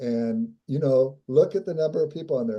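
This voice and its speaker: A man speaks with a dark, mellow tone at fairly high pitch. His intonation is lively. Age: 70s. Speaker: interview guest on spirituality. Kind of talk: interview conversation.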